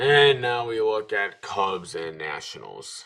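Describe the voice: A man with a medium pitch and a fairly slow pace.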